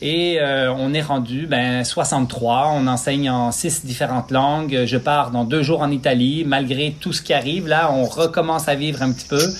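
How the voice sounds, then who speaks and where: A man with a Quebec accent talks with hardly any pauses and fairly even intonation. Noticeable background noise runs behind him. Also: fairly high pitch for a man, moderate pace. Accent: Québécois. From Quebec (Lac-Saint-Jean), born in Switzerland. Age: 40s. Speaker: physiotherapist, running clinic founder. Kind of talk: interview.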